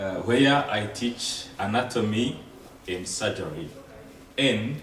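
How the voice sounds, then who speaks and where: A man with a non-native accent talks at a fairly slow pace, with ordinary pitch variation. Noticeable background noise and audible room echo surround him. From Rwanda. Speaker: surgeon and lecturer. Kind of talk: lecture.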